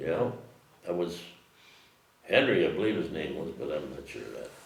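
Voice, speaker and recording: A man talks at a moderate pace with an American accent. There is noticeable background noise. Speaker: farmer, county highway worker, army veteran. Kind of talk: oral history interview answer.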